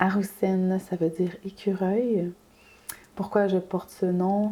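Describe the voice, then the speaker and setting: At a very slow pace, a woman speaks at a medium pitch in a dark, mellow tone. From Quebec, Wendake (Wendat Nation). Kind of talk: interview.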